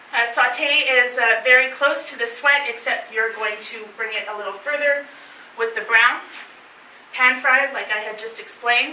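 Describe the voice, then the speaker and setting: A woman with a Canadian accent speaks at a moderate pace in a high pitch, her intonation fairly even. Her loudness swings widely, with light background noise and audible room echo. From northern Ontario, Canada. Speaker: chef teaching a cooking class; presenter. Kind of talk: cooking class talk to a live group. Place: meeting room. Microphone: camera far.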